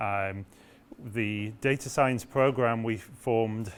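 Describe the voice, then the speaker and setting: A man's fairly low voice with a British accent and ordinary pitch variation. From UK. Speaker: professor. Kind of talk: orientation talk. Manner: hesitant with fillers.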